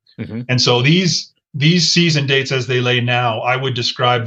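An ordinary speaking voice with an American accent at a moderate pace. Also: man. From Colorado. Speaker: wildlife manager. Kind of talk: interview.

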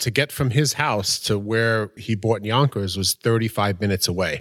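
A man with an unremarkable speaking voice and ordinary pitch variation talks on a very clean recording with a silent background. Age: 40s. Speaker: real estate company partner. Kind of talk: casual chat.

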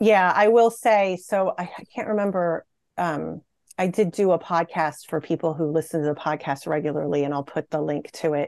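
A woman with an ordinary speaking voice, fairly low in pitch, talks at a moderate pace in a dry, close recording with no echo and a quiet background. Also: ordinary pitch variation. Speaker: podcast host and researcher. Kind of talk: panel discussion. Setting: video call.

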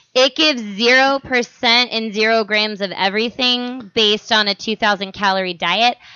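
A woman in an American accent uses a normal speaking voice at a fairly high pitch, speaking at a fairly slow pace with fairly even intonation and very even loudness. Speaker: podcast host. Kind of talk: casual comedic chat.

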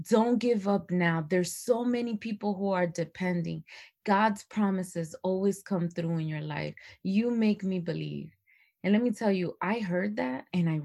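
Speaking at a fairly slow pace, a woman of medium pitch sounds animated, with ordinary pitch variation. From Dominican Republic, moved to US at six. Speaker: performance coach and entrepreneur. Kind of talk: casual interview.

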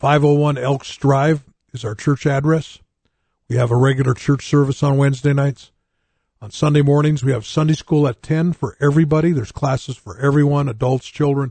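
A man's fairly high, somewhat breathy voice with a dark, mellow tone, fairly even intonation and a moderate pace. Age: 60s. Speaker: pastor and radio host. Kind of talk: live radio preaching and talk.

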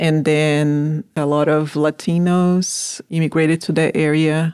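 In a very clean recording with a silent background, a woman with a Portuguese accent talks at a fairly slow pace in a very deep, low pitch, monotone and flat, the sound dry and close with no echo. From Brazil. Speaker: farm manager. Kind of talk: interview.

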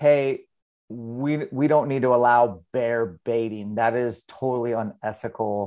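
With an American accent and an unremarkable speaking voice, someone talks at a fairly slow pace with ordinary pitch variation in a very clean recording with a silent background. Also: man. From Eastern Washington, US. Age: 40s. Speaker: hunter and fitness coach. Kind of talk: casual interview.

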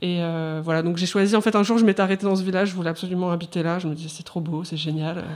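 Hardly any pauses break a woman's very fast speech. Her voice is fairly low, with fairly even intonation. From France, countryside near Lyon. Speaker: illustrator. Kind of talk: casual chat. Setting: studio.

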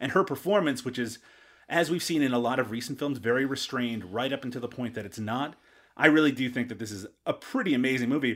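A man speaks at a very fast pace with ordinary pitch variation, captured in a very clean recording with a silent background. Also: medium pitch for a man. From Canada, Newfoundland. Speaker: podcast guest, film discussant. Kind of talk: casual chat.

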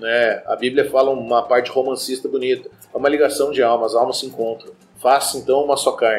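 A man at a medium pitch, talking at a fairly quick pace in a monotone, flat intonation. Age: 30s. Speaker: psychologist. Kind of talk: casual chat.

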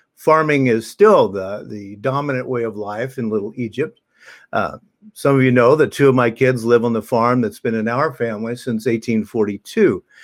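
On a very clean recording with a silent background, a man with an American accent speaks in an unremarkable speaking voice at medium pitch, with ordinary pitch variation and a moderate pace. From US Midwest, southern Illinois. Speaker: minister. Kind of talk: sermon.

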